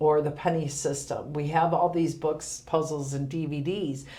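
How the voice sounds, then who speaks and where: With a very deep, low pitch, a woman talks at a fairly slow pace in monotone, flat intonation, with audible room echo. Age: 50s. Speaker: senior center director. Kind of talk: podcast interview.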